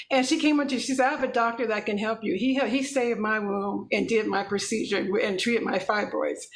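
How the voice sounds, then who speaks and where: Fairly quick, nearly pause-free speech from a woman with a fairly high pitch and ordinary pitch variation, amid audible room echo and noticeable background noise. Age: 50s. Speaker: infertility patient sharing her story. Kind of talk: testimony. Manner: fast; animated.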